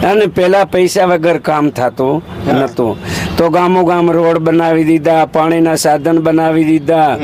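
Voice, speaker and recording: Over noticeable background noise, a man talks with fairly even intonation and very even loudness. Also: fairly high pitch for a man. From Gujarat, Saurashtra (Jamnagar district village), family roots in Rajasthan. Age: 70s. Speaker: elderly craftsman interviewed on the street. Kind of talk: street interview.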